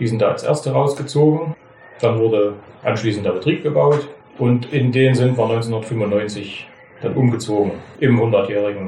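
A man with a medium pitch talks at a fairly slow pace with ordinary pitch variation. Audible room echo and noticeable background noise surround him. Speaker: master butcher. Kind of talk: storytelling interview.

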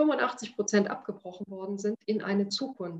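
Her speech moves at a moderate pace. The woman's voice sits at a medium pitch and is somewhat breathy. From Upper Lusatia, eastern Saxony. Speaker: foundation director. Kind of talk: personal storytelling.

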